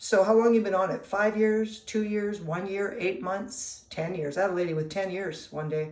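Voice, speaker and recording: A woman talking at a moderate pace with hardly any pauses, amid noticeable background noise. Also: medium pitch for a woman, ordinary pitch variation. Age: 60s. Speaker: nutritionist. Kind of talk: casual talk to camera. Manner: conversational with fillers.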